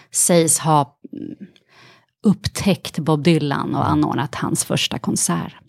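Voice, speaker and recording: A dry, close sound with no echo carries very slow speech with ordinary pitch variation. Long pauses come often. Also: woman. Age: 40s. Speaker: actress and author. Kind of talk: casual interview chat.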